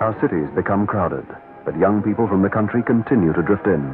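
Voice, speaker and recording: With music in the background, a man speaks at a very fast pace. His pitch is fairly low, with ordinary variation. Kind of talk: political ad narration.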